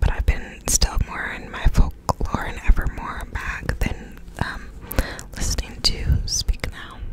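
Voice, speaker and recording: A soft-spoken woman whispers at a very slow pace, her loudness swinging widely, in a dry sound with no echo and noticeable background noise. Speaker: ASMR creator. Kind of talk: casual whispered ASMR chat. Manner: soft close-mic ASMR whisper. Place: home room. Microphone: studio mic.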